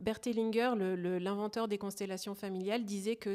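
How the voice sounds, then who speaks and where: Fairly level intonation, a very clean recording and a completely silent background. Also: woman. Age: 30s. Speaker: family constellation practitioner. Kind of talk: interview. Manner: hesitant, many fillers.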